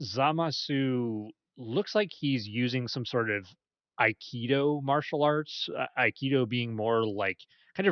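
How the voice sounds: A natural reading voice with ordinary pitch variation, over a quiet background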